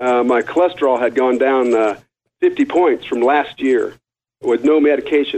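The speaker's intonation is fairly even. He is a man with a medium pitch. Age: 50s. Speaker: caller, program client. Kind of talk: phone-in testimony. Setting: phone call. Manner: halting, many fillers.

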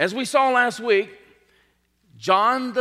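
A man's raised, projected voice in a bright, sharp tone. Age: 50s. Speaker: pastor. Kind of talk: sermon. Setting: church.

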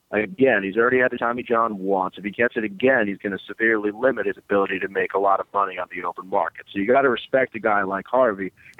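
A man with an American accent talks at a very fast pace with hardly any pauses. His pitch is fairly low, with fairly even intonation. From New York City (Brooklyn). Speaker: sports beat reporter. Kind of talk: casual chat. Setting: phone call.

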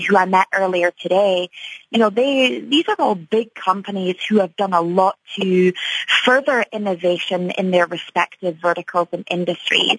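A woman at a medium pitch in a Scottish accent, moderate in pace, with ordinary pitch variation. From Scotland, Edinburgh. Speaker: tech conference executive. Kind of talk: radio interview. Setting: radio studio.

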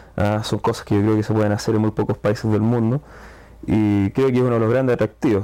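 A man's dark, mellow voice at a very fast pace, very even in loudness, with fairly even intonation against a quiet background. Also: fairly low pitch for a man. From Chile. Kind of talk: casual chat. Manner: hesitant, with fillers and repetitions.

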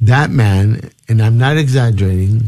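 Somewhat breathy, dark, mellow speech from a man, delivered fairly slowly. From Peru. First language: Spanish. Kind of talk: interview about faith and testimony.

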